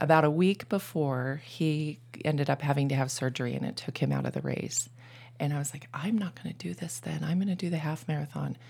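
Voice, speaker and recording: A woman's very deep, low voice with vocal fry, at a fairly quick pace. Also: ordinary pitch variation. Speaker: triathlete. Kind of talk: casual chat.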